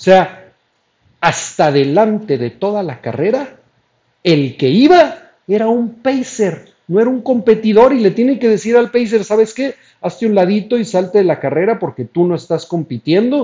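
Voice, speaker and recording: A man's high voice, dark and mellow in tone, with lively intonation and a fairly slow pace. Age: 50s. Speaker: running coach and marathon runner. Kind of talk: live-stream talk on running. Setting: live internet broadcast.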